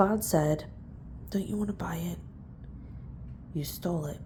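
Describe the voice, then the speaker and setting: The speaker is soft-spoken and whispering. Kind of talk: audiobook-style reading of a novel. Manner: soft-spoken, whispered.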